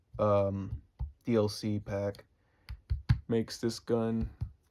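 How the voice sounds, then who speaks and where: Flat and monotone, a man's fairly low voice carries a dark, mellow tone. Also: very clean recording, silent background. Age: 20s. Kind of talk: casual talk to camera. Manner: tired.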